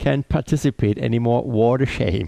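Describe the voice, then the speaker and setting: A man's dark, mellow voice with a German accent, dry and close with no echo. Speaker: podcast host. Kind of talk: interview. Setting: Skype call. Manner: formal.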